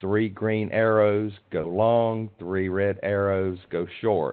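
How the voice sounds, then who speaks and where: A man speaks with fairly even intonation. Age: 60s. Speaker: options trader presenting a strategy, nonprofit leader. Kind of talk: webinar presentation. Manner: halting, many fillers.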